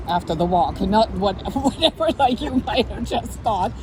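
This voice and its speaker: Noticeable background noise surrounds a woman who speaks with a non-native accent. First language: not English. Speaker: exercise specialist. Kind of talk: casual chat with fitness tips. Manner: casual, filler-heavy.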